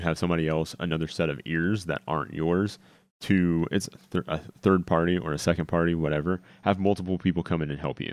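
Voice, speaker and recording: A man speaks in a very deep, low pitch. The background is quiet. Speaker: streaming tech podcast host. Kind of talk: tutorial. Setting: home studio, live stream with chat.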